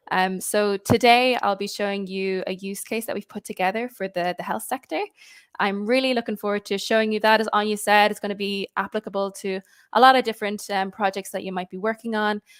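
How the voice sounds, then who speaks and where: A woman in an Irish accent, medium-pitched and monotone, flat in intonation, at a fairly quick pace, with a dry, close sound and no echo. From Ireland. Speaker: customer success executive. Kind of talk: webinar presentation. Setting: live online webinar.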